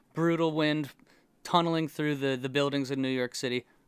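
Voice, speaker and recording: With a plain, everyday voice, a man speaks at a fairly high pitch with fairly even intonation, recorded very cleanly against a silent background with a dry, close sound and no echo. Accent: American. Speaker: comedy podcast co-host. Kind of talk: casual chat.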